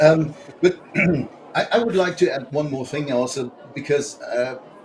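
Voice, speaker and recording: The speaker has a German accent. Noticeable background noise runs underneath. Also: man, long, frequent pauses, big swings in loudness. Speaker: political guest. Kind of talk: panel discussion. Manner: halting.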